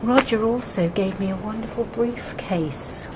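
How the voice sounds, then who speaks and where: Moderate pace amid noticeable background noise. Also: woman. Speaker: retired social worker and activist. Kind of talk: casual exhibition talk to camera. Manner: hesitant, chatty.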